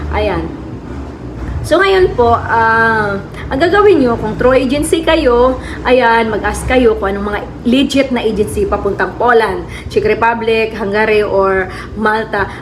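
A woman at a fairly high pitch and fairly slow pace, lively in intonation, with audible room echo and noticeable background noise. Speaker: travel vlogger. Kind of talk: casual vlog talk.

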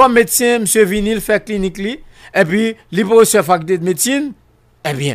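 The background is quiet. A man talks with very wide swings in pitch. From Haiti. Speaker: political commentator; guest. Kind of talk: radio talk show interview. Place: studio. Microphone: studio mic.

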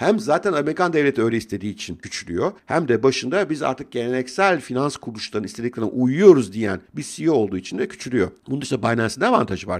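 Speaking very fast with hardly any pauses, a man at medium pitch swings his pitch very widely over a quiet background. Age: 50s. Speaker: financial commentator youtuber. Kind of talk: casual monologue commentary. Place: home room. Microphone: studio mic.

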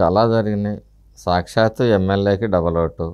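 A plain, everyday voice speaks with fairly even intonation against a quiet background. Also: man. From Palnadu region, Andhra Pradesh; Andhra Pradesh. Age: 50s. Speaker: opposition politician; politician interviewee. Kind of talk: interview. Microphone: lapel.

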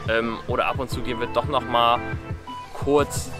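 A man speaks over clear background music, and the sound is dry with no echo. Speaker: amateur triathlete vlogger. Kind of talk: casual vlog chat. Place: forest.

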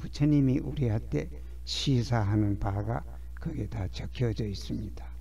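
This voice belongs to a man. His words bounce around with audible room echo. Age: 80s+. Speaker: scholar of Buddhist temple inscriptions. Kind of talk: lecture. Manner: halting, with frequent fillers.

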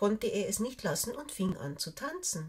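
Over a quiet background, the voice sounds somewhat breathy and gentle, with a warm tone. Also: woman. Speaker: storyteller reading fairy tales aloud. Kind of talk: bedtime story reading, fairy tale read aloud to children. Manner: gentle, warm and playful storyteller, changing voices for the characters; unhurried, clear and soothing. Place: home room.

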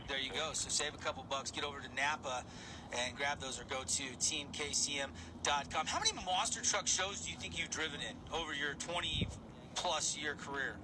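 Through noticeable background noise, a man speaks in an upbeat, energetic tone at a fairly high pitch and moderate pace, with ordinary pitch variation. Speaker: radio sports show host. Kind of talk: radio interview host. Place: studio. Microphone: studio mic.

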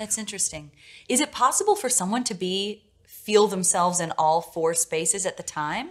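A woman's plain, everyday voice, medium in pitch, with lively intonation at a moderate pace over a quiet background. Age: 30s. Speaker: podcast host. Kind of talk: interview conversation. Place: studio.

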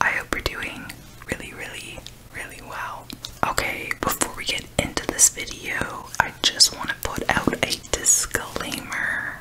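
A woman is whispering. She keeps to a fairly slow pace. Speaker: food video creator. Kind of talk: casual vlog chat. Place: home room.

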